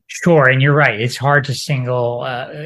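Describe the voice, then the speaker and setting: In a quiet background, a man talks at a moderate pace and a medium pitch. His voice is somewhat breathy, with monotone, flat intonation. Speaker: attorney and democracy advocate. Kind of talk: interview. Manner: halting.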